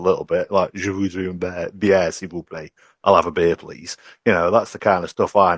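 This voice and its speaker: With a British accent, a man speaks at a fairly quick pace in a very deep, low pitch. The sound is dry and close with no echo, over a quiet background. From UK. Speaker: podcast guest. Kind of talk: casual chat.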